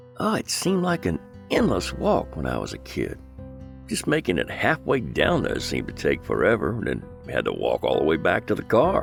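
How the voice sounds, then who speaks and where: Background music can be heard. Over it, a man keeps a moderate pace. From Southeast Texas. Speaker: voiceover artist. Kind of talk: nostalgic documentary narration.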